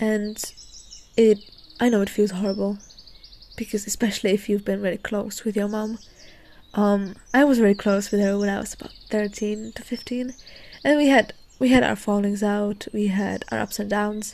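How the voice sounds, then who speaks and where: A soft-spoken woman talks at medium pitch and a moderate pace. She leaves long, frequent pauses. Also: fairly even intonation. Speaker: podcast host. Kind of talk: casual podcast chat. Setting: outdoors.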